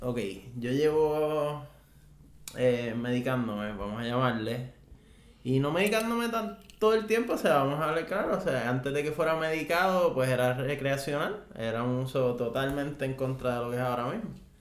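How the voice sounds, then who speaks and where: Speaking at a moderate pace, a man uses lively intonation at a fairly high pitch. Both room echo and background noise are noticeable. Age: 20s. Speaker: cannabis patient and podcast guest. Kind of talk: casual chat.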